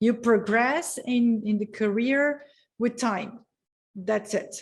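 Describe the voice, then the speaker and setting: A woman with a Portuguese accent, fairly high in pitch, at a very slow pace with fairly even intonation. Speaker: education policy expert. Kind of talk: panel discussion. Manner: halting, many fillers.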